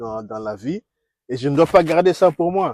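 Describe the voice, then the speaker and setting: A man's lively intonation at a fairly slow pace, dry and close with no echo. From DR Congo. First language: Kikongo (speaking French). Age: 60s. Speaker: diplomat and former university teacher. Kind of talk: interview. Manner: halting.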